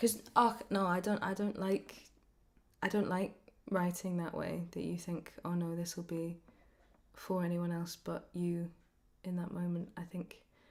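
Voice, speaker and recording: Speaking at a fairly slow pace with long, frequent pauses, a woman sounds somewhat breathy. Her fairly low pitch stays monotone, with flat intonation. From Scotland. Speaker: singer-songwriter. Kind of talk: interview. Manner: halting.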